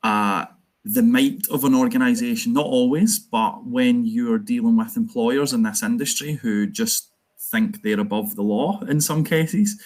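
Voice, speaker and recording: Pitched high for a man, his voice carries a Glasgow accent and moves through very wide pitch swings. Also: moderate pace. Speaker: trade union organiser. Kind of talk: conference talk.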